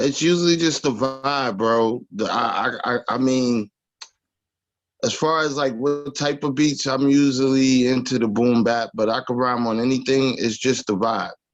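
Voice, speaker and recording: A man with a New York accent speaks at a fairly slow pace and a medium pitch. His intonation is fairly even and his loudness very even. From Long Island, New York. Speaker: rapper. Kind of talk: interview. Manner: stammering repetitions.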